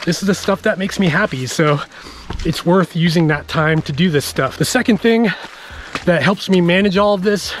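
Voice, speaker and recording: With a high pitch and ordinary pitch variation, a man speaks at a moderate pace, with light background noise and a dry sound with no echo. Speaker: trail runner vlogger. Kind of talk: casual vlog chat. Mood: relaxed, upbeat. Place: forest. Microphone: phone near.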